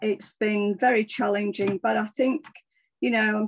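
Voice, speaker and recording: Heard in a dry, close sound with no echo, a woman in an English accent speaks at medium pitch. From England. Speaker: former nurse, wellness speaker. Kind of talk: personal testimony talk. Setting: video call. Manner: halting, many fillers.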